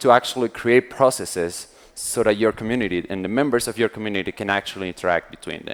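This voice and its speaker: A man is speaking. His pace is very fast. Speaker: conference speaker. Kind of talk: conference talk. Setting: stage with audience. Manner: animated.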